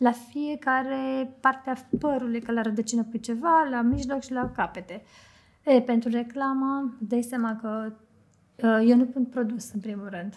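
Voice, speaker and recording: Her pitch high and her intonation fairly even, a woman speaks at a fairly slow pace. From Romania, Bucharest. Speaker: hairstylist and makeup artist. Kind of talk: casual chat.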